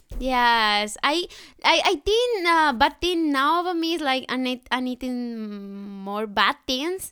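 A woman with a Spanish accent speaks at a very slow pace in a raised, projected voice. Her pitch is high, her tone bright and sharp, and her pitch swings very widely. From Colombia. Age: 20s. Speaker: au pair. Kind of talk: casual chat.

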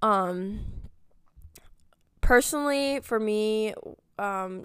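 Over a silent background in a very clean recording, a woman speaks slowly in a clear, smooth tone.

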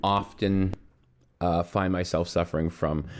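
Here a man talks at a fairly slow pace. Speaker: podcast co-host. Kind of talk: casual chat. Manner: halting.

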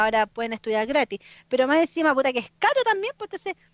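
The speaker's pitch swings very widely, with a Chilean accent. The pace is very fast. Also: woman, dry, close sound with no echo. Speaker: illustrator and street artist. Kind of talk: casual chat.

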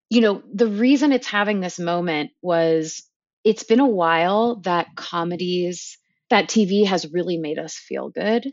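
A woman speaks in a plain, everyday voice at medium pitch. Her pace is fairly slow and her intonation lively. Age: 30s. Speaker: TV producer. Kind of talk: casual chat.

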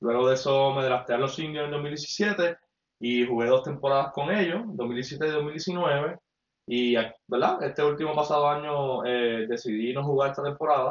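A man's fairly high voice with a Puerto Rican accent. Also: ordinary pitch variation, moderate pace. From Puerto Rico, Mayagüez. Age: 20s. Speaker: former basketball player, podcast co-host. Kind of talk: casual chat. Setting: home apartment, livestream.

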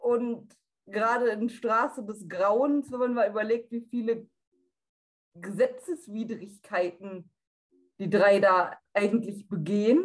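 A woman talks at a very slow pace with long, frequent pauses. Her fairly high pitch has ordinary pitch variation. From North Rhine-Westphalia, Germany. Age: 20s. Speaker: blind audio drama fan. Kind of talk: casual interview chat.

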